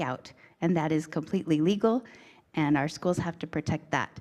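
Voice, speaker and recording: The woman moves at a fairly quick pace, her pitch varying in an ordinary way, with a quiet background behind her. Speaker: state school board member and candidate. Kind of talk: candidate speech at community forum. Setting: community forum with audience. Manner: fast.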